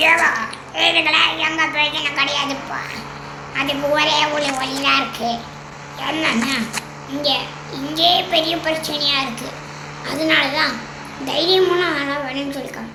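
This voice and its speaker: A woman speaks in a raised, projected voice with an energetic tone and high pitch. Noticeable background noise runs underneath. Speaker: gameplay commentator and voice-over artist. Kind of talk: comic gameplay voice-over. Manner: energetic, comic.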